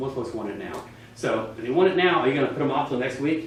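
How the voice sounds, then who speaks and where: A man talks very fast in a fairly high voice with lively intonation. The room echo is audible and background noise is noticeable. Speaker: real estate trainer. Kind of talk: class lecture. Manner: animated.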